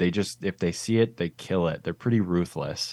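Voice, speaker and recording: Against a quiet background, a man with a western Canadian accent speaks in a very deep, low pitch with ordinary pitch variation. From Canada, Vancouver Island, British Columbia. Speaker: cinematographer. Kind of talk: interview.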